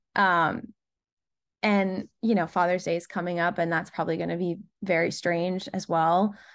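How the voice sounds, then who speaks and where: Against a quiet background, a woman with an American accent uses a plain, everyday voice at a fairly low pitch, keeping a moderate pace and fairly even intonation. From US Northeast, Rhode Island. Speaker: singer-songwriter. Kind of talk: interview, casual chat.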